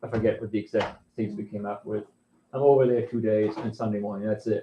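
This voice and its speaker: At a very fast pace, a man with an American accent talks in a medium pitch, monotone and flat in intonation and somewhat breathy. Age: 60s. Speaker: pastor. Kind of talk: congregational meeting address. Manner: halting, many repetitions.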